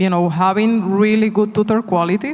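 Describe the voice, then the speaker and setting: Speaking in a Spanish accent, a man keeps a moderate pace and fairly even intonation. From Spain. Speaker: tech company executive. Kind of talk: onstage panel interview. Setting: conference stage.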